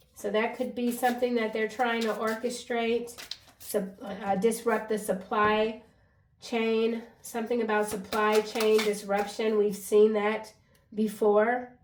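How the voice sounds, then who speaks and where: At a fairly slow pace and with monotone, flat intonation, the voice comes through noticeable background noise and audible room echo. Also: woman, fairly high pitch for a woman. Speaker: tarot card reader. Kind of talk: tarot reading monologue. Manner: halting, self-admitted stuttering.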